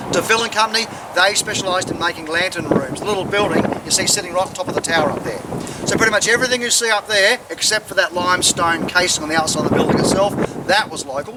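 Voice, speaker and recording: With an Australian accent, a man talks at a very fast pace and a high pitch, his pitch varying an ordinary amount. Noticeable background noise is present. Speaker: tour guide. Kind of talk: guided tour talk to visitors. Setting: outdoors. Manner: humorous, chatty.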